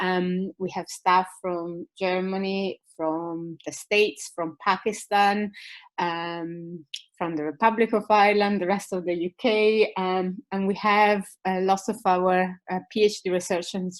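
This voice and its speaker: A woman of medium pitch with an Italian accent, fairly slow and fairly even in intonation. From Italy. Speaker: university lecturer. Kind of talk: webinar presentation. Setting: online webinar. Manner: hesitant, many fillers.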